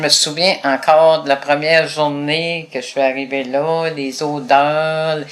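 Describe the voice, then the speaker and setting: In a very deep, low pitch, a woman speaks at a very slow pace with monotone, flat intonation and hardly any pauses. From Quebec, Gaspésie. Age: 70s. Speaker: retired advocate for blind people. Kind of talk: interview.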